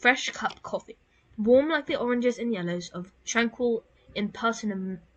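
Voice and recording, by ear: Ordinary pitch variation marks this clip of reading aloud in a natural voice.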